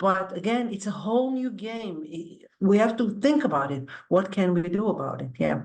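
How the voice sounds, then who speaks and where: A woman with a non-native accent, medium in pitch, with lively intonation at a moderate pace. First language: not English. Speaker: academic, panelist. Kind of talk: panel discussion. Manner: animated, conversational.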